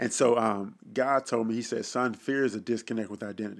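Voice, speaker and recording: This man has an ordinary speaking voice, medium in pitch, with an American accent and fairly even intonation. He talks at a fairly quick pace on a very clean recording with a silent background. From Dallas, Texas (Oak Cliff). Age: young. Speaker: pastor and entrepreneur. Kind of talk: casual interview conversation.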